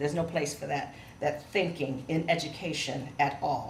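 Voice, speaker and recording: With an American accent, a woman talks amid noticeable background noise and audible room echo. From Ohio, Cleveland. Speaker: professor. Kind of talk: lecture. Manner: fast.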